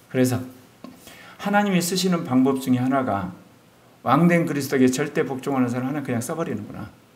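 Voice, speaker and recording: A medium-pitched man at a very fast pace, with long, frequent pauses, ordinary pitch variation and audible room echo. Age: 60s. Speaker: pastor. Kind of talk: sermon.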